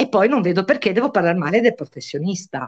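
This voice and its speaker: Pitch varies in an ordinary way as a woman talks. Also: quiet background. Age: 60s. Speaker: mother of a deceased young man, guest; guest. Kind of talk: interview on live stream. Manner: animated. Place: home room. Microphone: video call.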